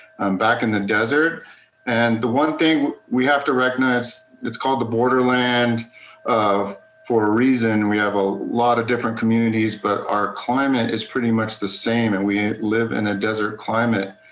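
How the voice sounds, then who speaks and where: A man with an American accent talks at a moderate pace and medium pitch, his intonation fairly even and his loudness very even. Noticeable background noise runs behind him. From West Texas, El Paso. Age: 40s. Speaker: geology instructor. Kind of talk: lecture.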